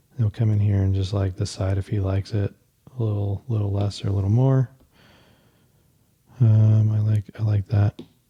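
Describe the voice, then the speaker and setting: A man with an American accent speaks at a moderate pace and fairly low pitch, somewhat breathy and dark, mellow in tone. His intonation is monotone and flat, with long, frequent pauses, in a dry, close sound with no echo. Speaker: footwear designer, podcast host. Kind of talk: casual tutorial while sketching. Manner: halting, many fillers.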